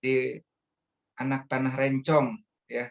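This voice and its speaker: A man speaks with a Bangka accent. His pace is fairly slow. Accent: Sumatran (Bangka) accent, per own remark. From Indonesia, Bangka Belitung (Pangkal Pinang). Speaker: religious speaker. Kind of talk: religious talk. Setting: online meeting. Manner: hesitant, many fillers.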